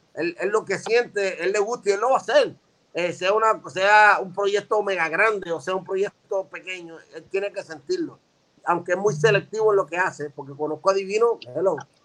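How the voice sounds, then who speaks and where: His high-pitched voice shows ordinary pitch variation. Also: moderate pace. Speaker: veteran rapper. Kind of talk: casual chat.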